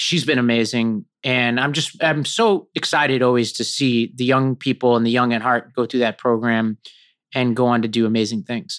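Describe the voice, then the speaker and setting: At a moderate pace, a man with an American accent and a normal speaking voice keeps a medium pitch and fairly even intonation. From New York City (Staten Island). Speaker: political organizer and podcast host. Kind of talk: casual interview conversation.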